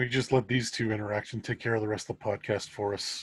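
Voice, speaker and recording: A man speaks very fast at a fairly low pitch, somewhat breathy and monotone, with flat intonation. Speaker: fanfiction author, podcast co-host. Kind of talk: casual chat.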